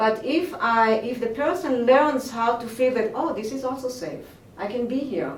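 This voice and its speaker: In an Israeli accent, a woman speaks at a moderate pace with audible room echo. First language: Hebrew. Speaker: movement teacher. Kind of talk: interview. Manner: halting.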